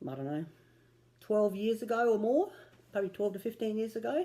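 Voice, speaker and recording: A woman speaks with an Australian accent and a dark, mellow tone. Her intonation is lively. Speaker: cross stitch vlogger. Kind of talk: casual vlog chat. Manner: casual with frequent fillers.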